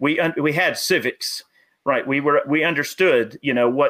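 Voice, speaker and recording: A Southern US accent at a moderate pace. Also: man. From US South. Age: 30s. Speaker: gun YouTuber and army veteran. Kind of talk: casual chat.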